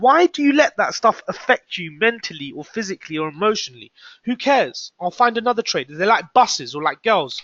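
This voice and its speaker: With very wide pitch swings, a high-pitched man talks at a fairly quick pace in a British accent. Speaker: forex trader and trading coach. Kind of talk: live trading room commentary. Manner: fast; animated.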